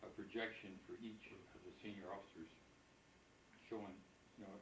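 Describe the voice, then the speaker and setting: A man's somewhat breathy, monotone, flat delivery at a fairly quick pace, with audible room echo. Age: 70s. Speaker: retired company officer, birthday honoree. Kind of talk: speech at family birthday party.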